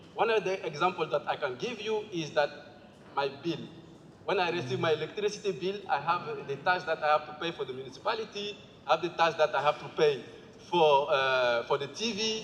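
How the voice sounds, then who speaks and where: A man with a Malian accent, high pitch, ordinary pitch variation and a fairly quick pace, over noticeable background noise. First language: Bambara. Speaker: assembly participant presenting group work. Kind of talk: group presentation. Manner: halting.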